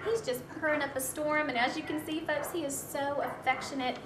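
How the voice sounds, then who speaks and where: Against noticeable background noise, a woman with an American accent talks at a moderate pace in a warm, upbeat tone with lively intonation. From US South. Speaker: volunteer adoption show host. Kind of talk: pitchman-style adoption pitch, coaxing viewers to adopt the animal on screen. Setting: animal shelter, filmed on location. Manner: warm, gushing, upbeat and animated; sales-like, repeatedly urging viewers to come down and adopt. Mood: warm, enthusiastic. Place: studio.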